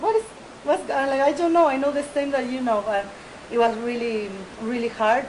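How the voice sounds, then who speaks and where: A woman with a Spanish accent at a moderate pace, ordinary pitch variation, and noticeable background noise. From Buenos Aires, Argentina. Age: 30s. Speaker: big-wave surfer. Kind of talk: interview. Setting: outdoors by the beach.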